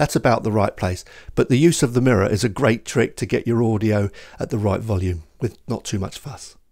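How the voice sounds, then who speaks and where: A man's fairly low voice at a fairly quick pace, with ordinary pitch variation and a quiet background. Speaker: video gear reviewer. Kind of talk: tutorial. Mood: cheerful, lightly amused. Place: studio. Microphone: handheld.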